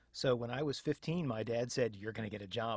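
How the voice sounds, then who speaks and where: In a plain, everyday voice, a man with an American accent speaks at medium pitch with ordinary pitch variation on a very clean recording with a silent background. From United States, Tampa Bay area. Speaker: professional voice actor, audiobook narrator and audio producer. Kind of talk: podcast interview answer.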